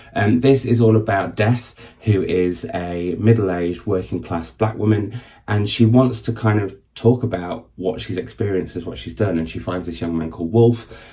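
A dark, mellow, somewhat breathy voice in a northern English accent, at a moderate pace with ordinary pitch variation. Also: man, fairly low pitch for a man. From northern England. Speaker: book vlogger. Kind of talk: casual video monologue. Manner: chatty, waffling.

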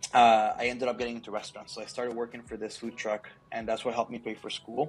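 Faint music sits in the background as a man talks. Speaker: guest. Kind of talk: interview answer. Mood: relaxed, good-humored. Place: office. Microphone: earbuds.

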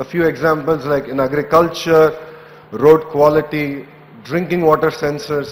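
Moderate-paced speech from a man. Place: hall. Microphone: podium.

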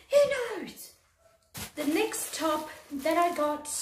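A woman's voice with audible room echo. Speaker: fashion haul vlogger. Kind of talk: casual vlog chat. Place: home room. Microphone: phone near.

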